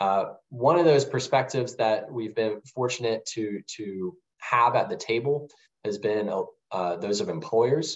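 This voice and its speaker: Fairly slow and medium in pitch, this man has an unremarkable speaking voice. His pitch variation is ordinary. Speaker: nonprofit policy manager. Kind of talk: webinar presentation.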